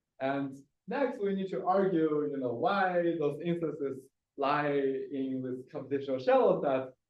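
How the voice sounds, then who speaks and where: A man talks at a fairly slow pace with a fairly high pitch. His pitch varies in an ordinary way, and there is audible room echo. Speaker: computer science researcher. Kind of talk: technical seminar talk. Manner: halting, many fillers.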